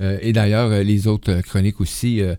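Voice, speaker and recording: This man has a Quebec accent and a fairly low pitch. His tone is dark and mellow. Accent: Québécois French. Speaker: radio host. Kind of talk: casual chat.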